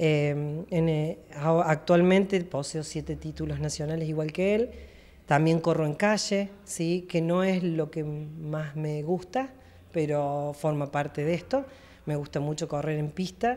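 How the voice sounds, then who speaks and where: Very deep and low in pitch, a woman speaks at a very slow pace with a dark, mellow tone. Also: ordinary pitch variation. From Argentina, Villa María (Córdoba); Córdoba, Argentina. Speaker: masters athlete. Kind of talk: interview; interview answer. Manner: hesitant, many fillers. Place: office. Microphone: handheld.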